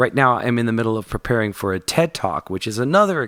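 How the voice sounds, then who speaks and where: This man has an ordinary speaking voice at medium pitch. He talks at a fairly quick pace. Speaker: singer and podcast host. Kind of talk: podcast intro talk.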